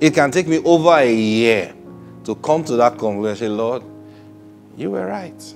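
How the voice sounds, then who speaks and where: Faint background music behind a man's voice. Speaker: preacher hosting a broadcast. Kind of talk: sermon-style teaching. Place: studio. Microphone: lapel.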